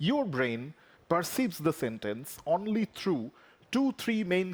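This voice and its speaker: A man with a Bengali accent at a moderate pace, on a very clean recording with a silent background. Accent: Indian English (Bengali). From India (Bengal). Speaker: professor. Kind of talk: lecture. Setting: conference stage.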